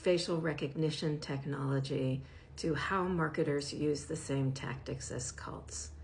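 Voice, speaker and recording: A woman's very deep, low, somewhat breathy voice with audible room echo. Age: 60s. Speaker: professor and media literacy educator. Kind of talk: direct-to-camera advocacy talk.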